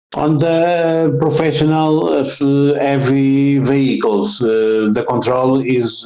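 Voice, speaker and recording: Speaking at a very slow pace with a Portuguese accent, this voice has a dark, mellow tone and lively intonation. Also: man. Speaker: road safety consultant. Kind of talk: interview. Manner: halting, many fillers.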